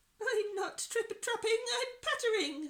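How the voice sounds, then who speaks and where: A woman does a put-on character voice, squeaky and extremely high in pitch. She speaks at a fairly slow pace. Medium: read story.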